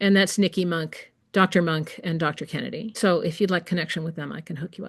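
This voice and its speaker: Over a quiet background, a woman talks at a fairly quick pace in a fairly low, somewhat breathy voice with fairly even intonation and big swings in loudness. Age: 60s. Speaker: massage educator and textbook author. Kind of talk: interview conversation. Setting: podcast interview.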